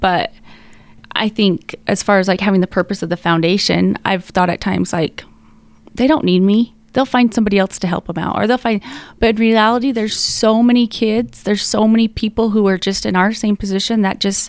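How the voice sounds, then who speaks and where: With an American accent, a woman talks at a fairly quick pace in a medium pitch, using an unremarkable speaking voice with ordinary pitch variation. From Utah. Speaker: bereaved mother, foundation co-founder. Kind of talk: casual interview.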